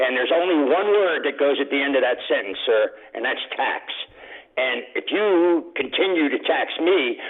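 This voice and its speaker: The pace of the speech is moderate. Music can be heard in the background. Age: 70s. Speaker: radio caller, retiree. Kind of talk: call-in complaint. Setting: phone call.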